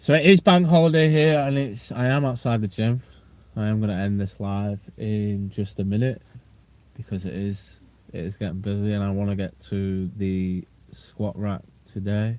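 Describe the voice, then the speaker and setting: In a northwest English accent, a man speaks at a fairly low pitch with ordinary pitch variation. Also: moderate pace. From northwest England. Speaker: strength and conditioning coach. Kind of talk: livestream chat. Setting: outdoors outside a gym. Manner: casual, repetitive.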